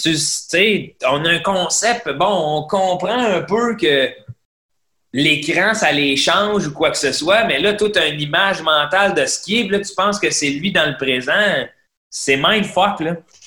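This man's voice sits high in pitch, with a bright, sharp tone. He speaks at a very slow pace with ordinary pitch variation. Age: 30s. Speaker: comedian. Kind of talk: casual chat.

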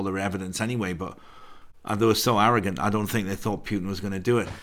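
This man speaks with an English accent at a very fast pace. His intonation stays fairly even. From England. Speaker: actor and producer. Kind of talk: casual chat.

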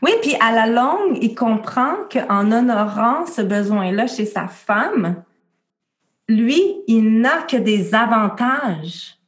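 A woman speaks with a fairly high pitch and a Quebec accent. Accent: Québécois French. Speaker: midwife and birth educator. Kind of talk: interview.

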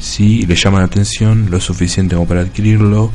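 A man speaks in a very deep, low voice at a moderate pace, with ordinary pitch variation. Audible room echo and noticeable background noise surround him. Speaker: podcast host. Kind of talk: casual chat; reading a game review aloud.

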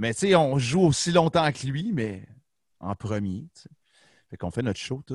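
The recording is dry and close with no echo as a man speaks with lively intonation. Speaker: rock band musician. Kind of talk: casual chat. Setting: video call.

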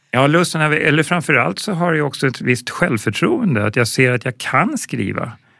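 Lively intonation marks a man's ordinary speaking voice, pitched fairly high and delivered at a moderate pace with hardly any pauses. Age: 50s. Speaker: film director and ambulance nurse. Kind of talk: interview.

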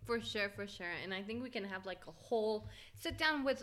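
Very fast, lively speech from a woman with an American accent and a fairly high pitch. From Florida, US (left at 16 for Mexico). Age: 20s. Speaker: podcast co-host. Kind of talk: casual chat.

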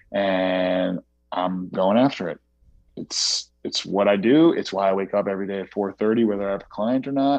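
The man's voice is fairly low in pitch. He talks at a moderate pace with ordinary pitch variation. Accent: American. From New York City area. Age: 30s. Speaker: CrossFit athlete and coach. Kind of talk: casual chat. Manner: animated.

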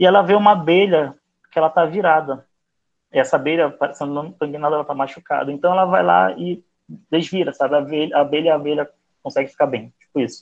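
Very fast speech comes from a man. His fairly high voice shows ordinary pitch variation. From Macapá, Amapá, northern Brazil. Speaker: writer. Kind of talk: interview.

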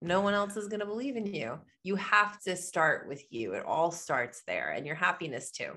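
With hardly any pauses, a woman at a medium pitch talks in a bright, sharp tone, adding vocal fry to her lively intonation. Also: moderate pace. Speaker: entrepreneur and author. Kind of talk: podcast interview.

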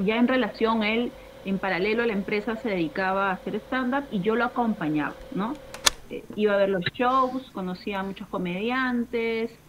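A woman talks at a moderate pace in a fairly high pitch with ordinary pitch variation. Noticeable background noise is present. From Peru, Lima. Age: 30s. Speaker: stand-up comedian and show producer. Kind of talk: casual chat. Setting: home terrace, video call.

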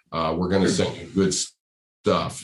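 Talking at a fairly quick pace, a man with an American accent keeps his intonation fairly even. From US Northeast, Rhode Island. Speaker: podcast host and accessories business owner. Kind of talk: casual interview chat.

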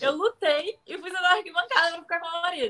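Raised and projected, a woman's voice with a bright, sharp tone rushes along at a very fast pace with ordinary pitch variation. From Brazil, Rio de Janeiro. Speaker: professional wrestler. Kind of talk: interview. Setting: video call.

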